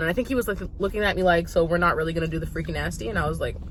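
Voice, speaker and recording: A woman talks very fast at a fairly low pitch, with ordinary pitch variation. Noticeable background noise runs under her voice. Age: 30s. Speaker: vlogger. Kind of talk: casual storytelling while eating.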